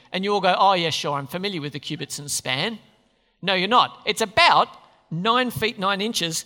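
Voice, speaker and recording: Raising and projecting his voice, a man speaks at a moderate pace with a bright, sharp tone, a high pitch and ordinary pitch variation. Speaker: preacher. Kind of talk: sermon. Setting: church. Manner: halting.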